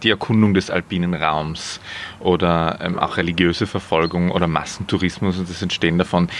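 A man speaks at a moderate pace in a very deep, low pitch. Noticeable background noise is present. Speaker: podcast host. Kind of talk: interview. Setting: outdoors in a garden.

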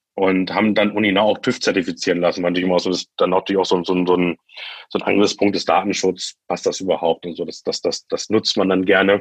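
Delivered at a very fast pace, the speech has monotone, flat intonation. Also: man. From Lower Saxony, Germany (Göttingen). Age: 30s. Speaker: startup founder. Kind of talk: interview. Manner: halting, many fillers.

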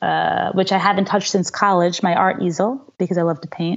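A woman with a New York accent, vocal fry, and fairly low pitch, at a fairly quick pace. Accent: New York American. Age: 30s. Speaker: executive and life coach. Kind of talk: interview conversation.

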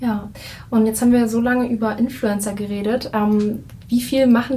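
A woman with a fairly high pitch speaks at a moderate pace in a monotone, flat intonation. Noticeable background noise and audible room echo are present. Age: 20s. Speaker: podcast host. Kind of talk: interview. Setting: conference room.

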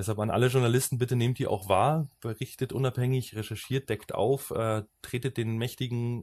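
Against a silent background on a very clean recording, a man's medium-pitched, somewhat breathy voice comes at a fairly quick pace in a dry, close sound with no echo. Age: 30s. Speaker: podcast host. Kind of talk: casual chat.

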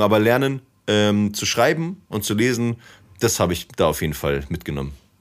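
A fairly low-pitched man on a very clean recording with a silent background. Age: 30s. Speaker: DJ, poet and activist. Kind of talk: casual chat. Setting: studio.

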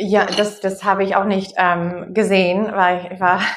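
Speaking with an American accent, a woman keeps to a medium pitch. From US Midwest, Wisconsin. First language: English (speaking German). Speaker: anthropologist. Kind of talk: online discussion, guest talk. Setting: video call. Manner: halting, many fillers.

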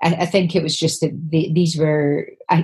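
A woman with an Aberdeen accent, very deep and low in pitch, somewhat breathy, dark and mellow in tone, fairly slow and flat, monotone in intonation. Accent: Scottish, north-east (Aberdeen). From Scotland, Aberdeen. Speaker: poet. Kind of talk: interview conversation. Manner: halting.

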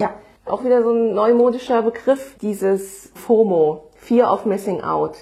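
A woman speaks at a fairly slow pace and a fairly high pitch. Background noise is noticeable. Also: ordinary pitch variation. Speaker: podcast host. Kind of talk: casual chat.

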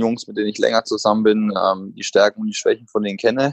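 Words pour out of a man at a very fast pace. The intonation remains fairly even. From Germany, Bamberg (Franconia). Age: 30s. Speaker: professional basketball player. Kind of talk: interview. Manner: hesitant, many filler sounds.

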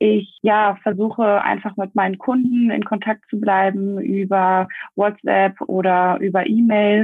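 Music plays in the background as a woman speaks very slowly. Her pitch is medium and her intonation fairly even. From Germany, Essen. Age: 30s. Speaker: network marketer. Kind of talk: interview.

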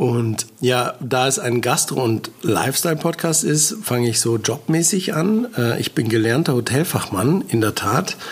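Noticeable background noise sits behind a man of medium pitch speaking at a fairly slow pace with hardly any pauses. His intonation is lively and his loudness very even. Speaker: podcast host, hotel professional and food blogger. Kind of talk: casual chat. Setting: studio.

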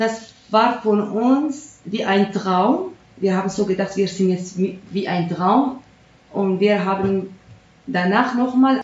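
A woman's very slow speech at a medium pitch, with ordinary pitch variation and noticeable background noise. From Syria. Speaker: refugee, former primary school teacher. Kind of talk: interview. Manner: halting.

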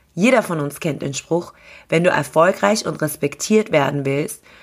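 A woman with an unremarkable speaking voice, fairly low pitch, lively intonation and a fairly slow pace, on a very clean recording with a silent background. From Austria (grew up there after arriving as a refugee). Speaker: radio host and event organizer. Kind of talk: scripted monologue.

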